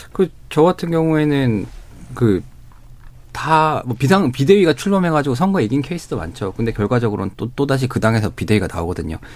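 Medium-pitched male speech at a fairly quick pace with very wide pitch swings, on a very clean recording with a silent background. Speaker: political journalist. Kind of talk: radio panel discussion. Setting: studio.

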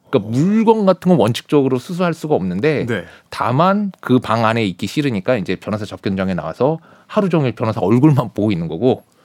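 In a very clean recording with a silent background and a dry, close sound with no echo, a man talks very fast at a medium pitch with very wide pitch swings. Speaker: lawyer. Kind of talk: casual chat.

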